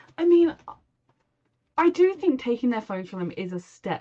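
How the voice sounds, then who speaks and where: A woman speaks with a British accent. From Britain. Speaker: TV reaction YouTuber. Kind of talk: casual reaction commentary.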